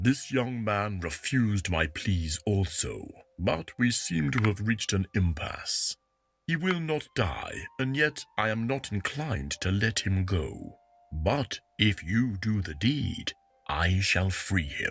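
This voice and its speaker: A man puts on a character voice, fairly low in pitch, and speaks at a fairly slow pace. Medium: video game. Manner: archaic, slow.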